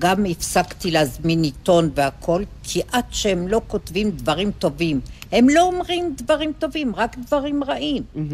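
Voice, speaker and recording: Over noticeable background noise, a woman talks fairly slowly at a medium pitch, with very wide pitch swings. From Israel, kibbutz. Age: 70s. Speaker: retiree. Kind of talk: casual chat.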